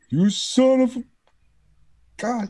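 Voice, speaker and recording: Pitched fairly high, the voice is a put-on character voice. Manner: screaming.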